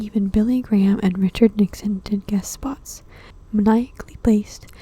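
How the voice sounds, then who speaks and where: A soft-spoken woman's fairly high voice, fairly even intonation, moderate pace. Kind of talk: ASMR magazine reading.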